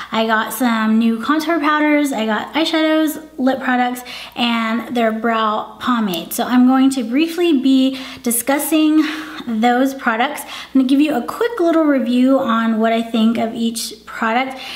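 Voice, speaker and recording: A woman's high-pitched voice at a fairly slow pace, with audible room echo and noticeable background noise. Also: ordinary pitch variation. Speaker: beauty vlogger. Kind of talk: product review. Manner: casual, conversational.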